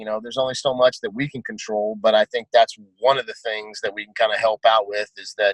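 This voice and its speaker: A man rattles along at a very fast pace with big swings in loudness, in a dry, close sound with no echo. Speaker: MMA coach. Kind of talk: casual chat. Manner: animated.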